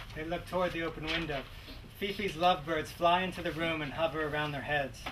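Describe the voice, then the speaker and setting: Against noticeable background noise, a man talks at a very fast pace. His intonation is monotone and flat. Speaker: narrator reading stage directions. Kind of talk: reading screenplay stage directions. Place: shop.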